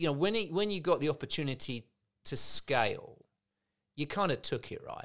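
Over a silent background on a very clean recording, a man speaks at a fairly quick pace with an English accent. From England. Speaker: podcast host. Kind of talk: casual interview chat.

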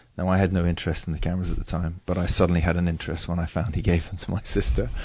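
Very deep and low in pitch, this man has a slight English accent. He talks at a very fast pace and sounds somewhat breathy. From England. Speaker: photographer and drummer. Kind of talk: interview conversation.

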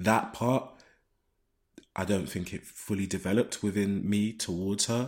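A man speaks at a moderate pace in a fairly low voice. Long, frequent pauses break up his speech. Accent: London. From London (Shoreditch). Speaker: video editor. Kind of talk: casual chat. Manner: halting.

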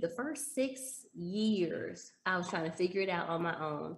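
Somewhat breathy, a woman with an American accent speaks with very wide pitch swings. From Texas, Dallas. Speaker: stock trader and former teacher. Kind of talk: casual interview.

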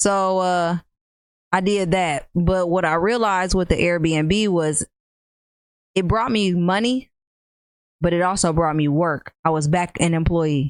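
A woman's fairly low voice at a fairly slow pace, with ordinary pitch variation, very even loudness, and long, frequent pauses. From US Midwest, Rockford, Illinois. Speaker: entrepreneur. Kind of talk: casual chat.

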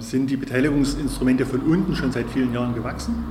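Noticeable background noise and audible room echo around a man's medium-pitched voice, his intonation fairly even. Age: 40s. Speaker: local party chairman. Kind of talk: interview.

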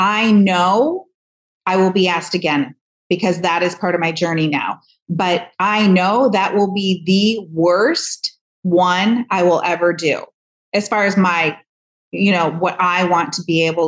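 Fairly even intonation marks a woman with an unremarkable speaking voice. Her pitch is medium and her pace fairly slow. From US Midwest, Michigan. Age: 50s. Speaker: hairdresser and author. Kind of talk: interview. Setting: video call.

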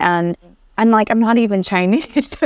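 A woman talks at a moderate pace with a Southern California accent. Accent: general American, Southern California. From Vietnam, raised in Anaheim, California. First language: Vietnamese. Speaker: educator and talent developer. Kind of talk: interview, personal storytelling.

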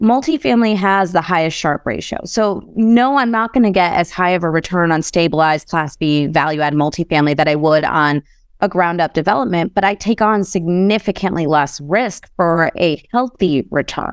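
A woman's fairly low voice, plain and everyday, with lively intonation, a moderate pace, very even loudness and hardly any pauses, on a very clean recording against a silent background. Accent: American. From US Midwest, Chicago. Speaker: real estate investor. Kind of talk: interview conversation.

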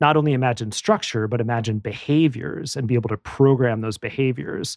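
Recorded dry and close with no echo over a quiet background, a man uses a normal speaking voice at medium pitch, with ordinary pitch variation and a moderate pace. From US Midwest, Madison, Wisconsin. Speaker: tech entrepreneur and author. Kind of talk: interview.

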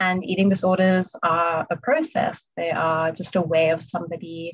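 A woman speaks slowly at a fairly low pitch, somewhat breathy, with fairly even intonation. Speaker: eating disorder recovery coach. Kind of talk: casual interview chat. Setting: video call. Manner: calm.

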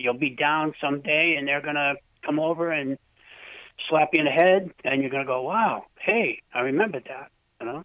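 Delivered at a moderate pace, this is an ordinary speaking voice. Its pitch variation is ordinary. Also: man, fairly high pitch for a man. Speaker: caller. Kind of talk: casual chat. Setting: phone call.

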